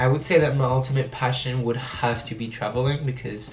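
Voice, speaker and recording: Talking at a fairly quick pace with a French accent, a man uses a medium pitch and fairly even intonation, with audible room echo and noticeable background noise. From France, Paris. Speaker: youtuber. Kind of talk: casual Q&A vlog.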